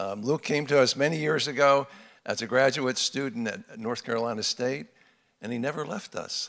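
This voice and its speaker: The recording is very clean, with a silent background. A man with an unremarkable speaking voice talks fairly quickly at a medium pitch, with ordinary pitch variation. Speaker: men's ministry leader. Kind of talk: sermon introduction and closing remarks. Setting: church men's gathering.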